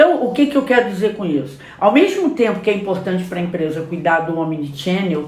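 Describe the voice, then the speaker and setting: A woman speaks at a fairly quick pace with very wide pitch swings. Audible room echo and noticeable background noise are present. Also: medium pitch for a woman, hardly any pauses. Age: 60s. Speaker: communication and marketing specialist. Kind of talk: casual podcast conversation.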